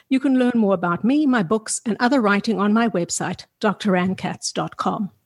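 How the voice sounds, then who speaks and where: A woman's somewhat breathy voice, fairly high in pitch, with lively intonation and a dry, close sound with no echo. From South Africa. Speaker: sex therapist, podcast host. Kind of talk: interview.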